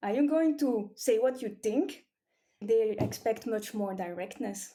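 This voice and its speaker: A woman with a Flemish accent, fairly high-pitched, with lively intonation and a fairly slow pace, music playing in the background. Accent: Flemish Belgian. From Belgium, Flemish region (near Leuven and Mechelen). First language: Flemish (Dutch). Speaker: cranial sacral therapist. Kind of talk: interview.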